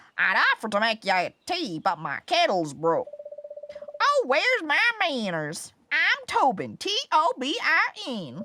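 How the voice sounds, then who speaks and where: Someone uses a put-on character voice with a high pitch and a fairly slow pace. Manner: welcoming.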